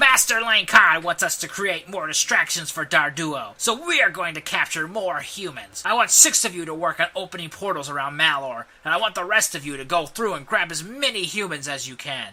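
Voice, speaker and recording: A man puts on a character voice, pitched high and speaking at a fairly quick pace. His intonation is lively, and his loudness swings widely. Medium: read story. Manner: smug, sneering.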